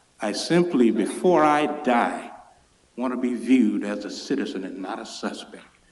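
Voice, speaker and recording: A man with an American accent talks at a fairly slow pace, and audible room echo surrounds his voice. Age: 60s. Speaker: public commenter at city council meeting. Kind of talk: public comment speech. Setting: city council chamber.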